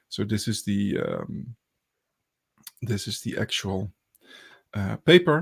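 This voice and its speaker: A man with a fairly low pitch and vocal fry speaks very slowly, with very wide pitch swings and long, frequent pauses, in a dry, close sound with no echo. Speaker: podcast host, academic researcher. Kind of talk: casual academic discussion. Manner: hesitant, many fillers.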